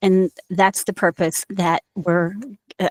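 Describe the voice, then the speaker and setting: Fairly slow speech with an American accent, dry and close with no echo. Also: woman. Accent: Indiana accent, noticeable at times. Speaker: university instructor. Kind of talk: recorded lecture. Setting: screen-share recording.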